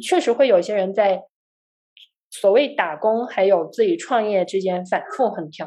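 Delivered at a moderate pace, a normal speaking voice carries lively intonation. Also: woman, medium pitch for a woman. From China, Guangzhou. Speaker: software engineer and startup founder. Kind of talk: casual chat.

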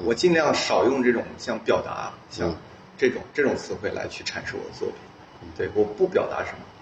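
A man speaks at a fairly quick pace, his loudness swinging widely, while noticeable background noise carries on behind. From Northeast China, Heilongjiang. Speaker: artist. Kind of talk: casual interview. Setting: artist's studio. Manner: halting, many fillers.

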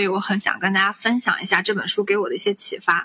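A woman at a medium pitch and a very fast pace, with fairly even intonation over noticeable background noise. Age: 20s. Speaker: podcast host. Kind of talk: casual chat.

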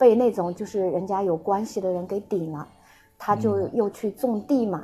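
This is a normal speaking voice with ordinary pitch variation at a moderate pace. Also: woman. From Shanghai and Xinjiang. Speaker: guest sharing life story. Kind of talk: casual interview.

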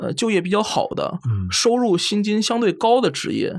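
A man speaks in a high voice. The background is silent and the recording very clean. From Hebei, China. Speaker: historian of mathematics. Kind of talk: casual chat.

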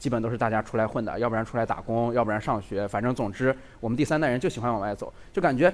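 A man at a very fast pace. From Lanzhou, Gansu, China. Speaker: video creator. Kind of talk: live talk show chat. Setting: stage with audience.

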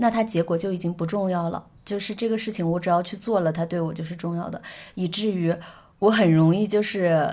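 A woman uses a normal speaking voice at medium pitch, talking at a fairly quick pace with fairly even intonation on a very clean recording with a silent background. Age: 20s. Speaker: musician and travel blogger. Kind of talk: casual chat.

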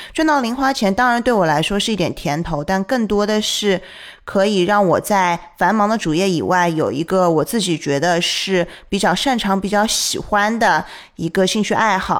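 A woman speaks in a plain, everyday voice at a moderate pace. Her medium pitch shows ordinary variation, and her loudness stays very even. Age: young. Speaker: podcast host. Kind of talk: casual chat.

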